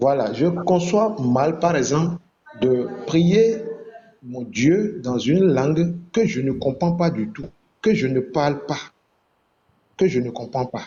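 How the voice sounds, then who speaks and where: A man speaks very slowly with long, frequent pauses. His pitch is fairly high and his intonation lively. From Benin. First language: Fon (speaking French). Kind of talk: online religious debate.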